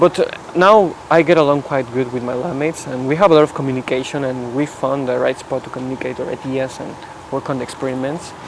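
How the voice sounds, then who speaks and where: Amid noticeable background noise, a man of medium pitch talks at a very fast pace with fairly even intonation. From Mexico. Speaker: physics PhD student. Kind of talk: casual chat.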